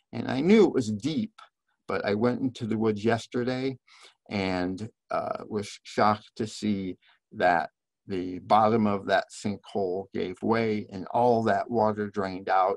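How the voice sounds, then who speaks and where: Against a quiet background, a man with a plain, everyday voice talks at a fairly slow pace, his pitch fairly low and his intonation fairly even, in a dry recording with no echo. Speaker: biology professor presenter. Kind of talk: lecture. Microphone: webcam.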